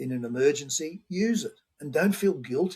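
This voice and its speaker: A somewhat breathy man with an Australian accent, at a moderate pace. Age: 70s. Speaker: homeopath. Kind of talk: interview.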